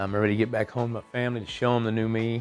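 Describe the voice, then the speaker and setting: With music in the background, a man of medium pitch speaks with monotone, flat intonation. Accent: Southern US. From Texas. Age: 40s. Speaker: addiction treatment patient. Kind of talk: testimonial interview. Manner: hesitant, casual.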